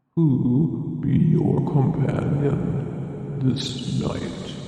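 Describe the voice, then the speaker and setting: At a very slow pace, a man puts on a character voice with fairly high pitch, and strong echo surrounds it. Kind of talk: archaic speech. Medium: read story.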